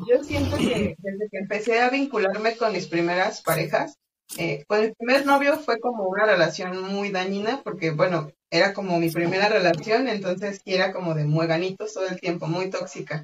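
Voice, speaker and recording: A woman speaks at a moderate pace with lively intonation and a medium pitch. It is an ordinary speaking voice. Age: 20s. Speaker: podcast guest sharing polyamory experience. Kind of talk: casual conversation, personal testimony.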